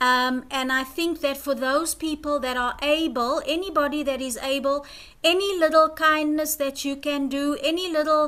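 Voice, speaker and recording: A woman speaks with a high pitch and a bright, sharp tone. Her intonation is fairly even and her pace moderate. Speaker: community project organiser. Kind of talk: online presentation. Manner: hesitant. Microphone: too quiet, no headphones.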